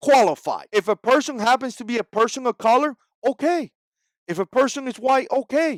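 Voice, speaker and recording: A man with a Spanish accent talks at a fairly quick pace in an animated tone, his pitch extremely high with ordinary variation. The sound is dry and close with no echo, on a very clean recording with a silent background. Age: 40s. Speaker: political vlogger. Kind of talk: opinion vlog monologue.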